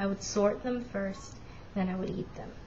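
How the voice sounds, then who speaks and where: Noticeable background noise and audible room echo surround a woman speaking at a medium pitch with fairly even intonation. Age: 20s. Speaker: vlogger with Asperger's. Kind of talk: personal testimony vlog. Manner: casual, hesitant with fillers.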